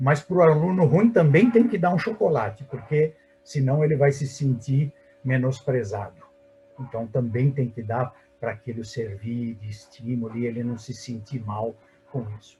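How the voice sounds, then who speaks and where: A man speaks at medium pitch in a dark, mellow, somewhat breathy tone. His pitch varies in an ordinary way while his loudness swings widely. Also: moderate pace. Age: 60s. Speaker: surgeon and medical professor. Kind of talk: webinar panel discussion. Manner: animated.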